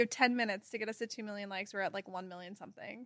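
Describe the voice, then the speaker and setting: A woman in a General American accent, very fast-paced, with an animated tone and lively intonation. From Kansas, US. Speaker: guest, former pageant titleholder and content creator. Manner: animated, excitable.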